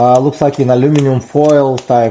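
A man at a moderate pace with fairly even intonation over light background noise. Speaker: product reviewer. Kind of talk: casual unboxing review. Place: kitchen. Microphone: camera far.

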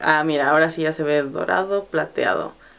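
A woman speaks with a very deep, low pitch. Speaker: beauty vlogger and makeup brand owner. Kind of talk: product presentation vlog. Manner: casual, with many fillers.

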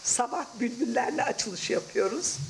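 Over clear background noise, a woman with a fairly high pitch and vocal fry speaks at a moderate pace with lively intonation.

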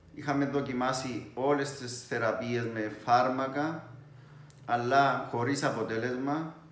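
The man's voice sits at a medium pitch, with fairly even intonation and a very slow pace. Room echo is audible. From Cyprus. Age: 50s. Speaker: priest, patient. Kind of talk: patient testimony. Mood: calm, measured. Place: home room. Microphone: phone near.

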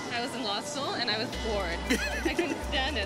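A woman talking at a fairly quick pace over loud music in the background. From Canada. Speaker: TV host. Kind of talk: interview answer. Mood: friendly, upbeat. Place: street. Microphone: lapel.

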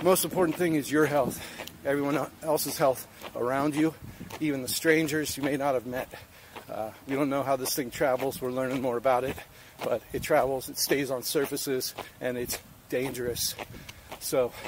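A man talks at a moderate pace with fairly even intonation and long, frequent pauses. The sound is dry with no echo, and there is noticeable background noise. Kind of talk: casual vlog chat. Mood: earnest, encouraging. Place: street. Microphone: phone near.

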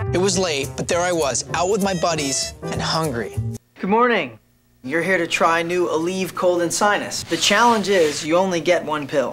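Music can be heard behind the voice. The words come at a moderate pace. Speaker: actor. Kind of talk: TV commercial read.

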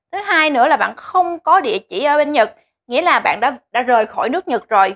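This woman talks at a fairly quick pace with lively intonation. The recording is very clean with a silent background, and the sound is dry and close with no echo. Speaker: vlogger living in Japan. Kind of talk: tutorial, informative vlog monologue. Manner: friendly, chatty.

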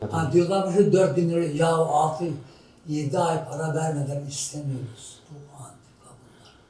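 Over noticeable background noise and audible room echo, a man with a fairly high pitch speaks fairly slowly, his intonation fairly even but his loudness swinging widely. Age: 80s+. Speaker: landlord. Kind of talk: street interview. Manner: agitated.

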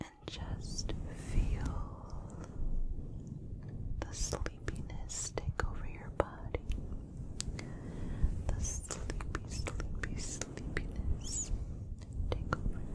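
Soft-spoken whispering at a very slow pace, with long, frequent pauses. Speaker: ASMR creator. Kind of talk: soft relaxation talk. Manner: soft close-mic sleepy whisper. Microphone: studio mic.

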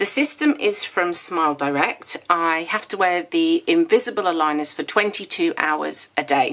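This woman's fairly low pitch carries lively intonation and a fairly bright tone at a moderate pace.

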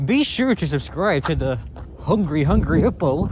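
Against noticeable background noise, a man talks at a moderate pace with very wide pitch swings, in a dry sound with no echo. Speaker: vlogger. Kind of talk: vlog narration while walking. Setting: outdoors, walking in cold. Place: street. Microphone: phone near.

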